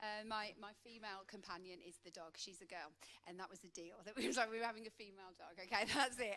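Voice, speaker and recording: Speaking very fast with a Midlands accent, a woman keeps a medium pitch and ordinary pitch variation. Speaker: coach. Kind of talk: conference talk.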